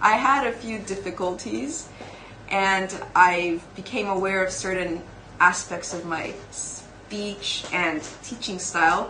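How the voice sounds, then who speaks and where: Over noticeable background noise and audible room echo, a woman talks at a medium pitch. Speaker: TEFL course trainee. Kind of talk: interview answers.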